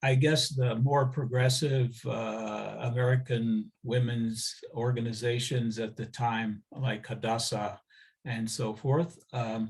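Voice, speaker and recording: A man's somewhat breathy voice at a very slow pace, with fairly even intonation. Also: medium pitch for a man, very clean recording, silent background. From US Midwest, moved to Israel at 14. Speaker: interviewee recounting life story. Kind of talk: oral history interview. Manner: halting, many fillers.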